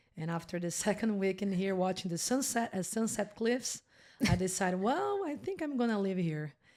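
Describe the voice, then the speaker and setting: With lively intonation, a woman speaks at a medium pitch and a moderate pace. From Brazil. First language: Portuguese. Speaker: podcast guest. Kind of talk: casual interview chat. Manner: animated.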